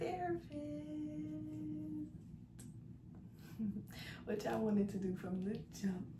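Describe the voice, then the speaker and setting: A woman is heard over noticeable background noise. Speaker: college student vlogger. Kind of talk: casual vlog chat. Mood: relaxed, playful. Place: home room.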